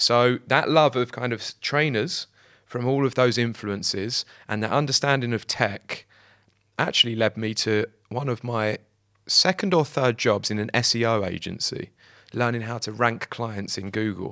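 A man with a British accent speaks at a medium pitch in a bright, sharp tone, the sound dry and close with no echo on a very clean recording with a silent background. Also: ordinary pitch variation, moderate pace. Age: 30s. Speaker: sneaker website founder. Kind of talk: casual interview.

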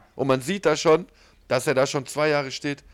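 The man sounds animated. His pitch sits fairly high. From southern Germany (Ulm, Swabia). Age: 30s. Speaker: podcast co-host. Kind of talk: casual chat.

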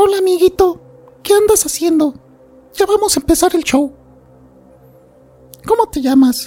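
An extremely high, put-on character voice moves at a moderate pace. Faint music plays in the background. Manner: playful, joking.

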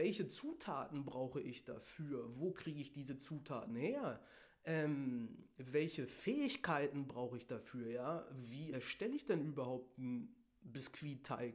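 A man talking at a fairly slow pace. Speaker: podcast host. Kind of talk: solo podcast monologue on goal setting. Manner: casual, filler-heavy.

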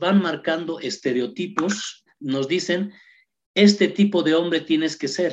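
A man speaks at a very slow pace with a high pitch and ordinary pitch variation. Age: 50s. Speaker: human rights activist. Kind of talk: radio interview.

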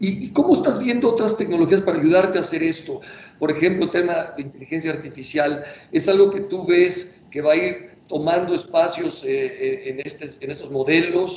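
A man with a Mexican accent talks at a moderate pace and a high pitch. Noticeable background noise runs behind him. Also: ordinary pitch variation. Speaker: company president, interviewer. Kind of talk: interview. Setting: video call.

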